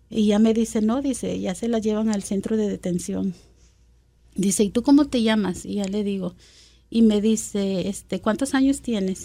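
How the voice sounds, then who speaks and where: A dark, mellow tone carries ordinary pitch variation at a moderate pace. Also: woman, long, frequent pauses. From Guatemala City. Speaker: immigrant community member. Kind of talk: personal testimony interview.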